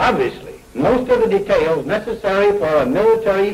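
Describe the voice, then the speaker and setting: Very wide pitch swings mark a man's speech over noticeable background noise. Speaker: US president giving a televised address. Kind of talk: formal presidential address.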